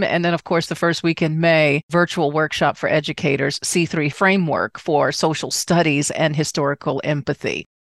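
In a normal speaking voice, a woman with an American accent talks at a moderate pace, her fairly low pitch showing ordinary pitch variation. The sound is dry and close with no echo, over a quiet background. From Washington, D.C. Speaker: podcast host, travel professional. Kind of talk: casual interview chat.

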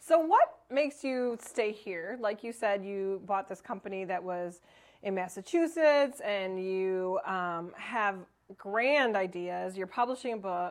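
A woman's plain, everyday voice, medium in pitch, at a fairly slow pace with lively intonation. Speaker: podcast host. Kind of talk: podcast interview. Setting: studio with live audience.

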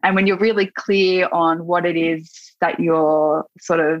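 With an Australian accent, a woman of fairly low pitch speaks at a moderate pace. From Australia, Gippsland, Victoria. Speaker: kinesiologist and yoga teacher. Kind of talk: casual interview.

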